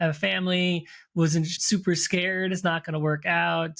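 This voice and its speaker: This is a man with a high-pitched voice. The recording is very clean, with a silent background. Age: 40s. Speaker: fitness coach and podcast co-host. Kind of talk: casual chat. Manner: hesitant, many fillers.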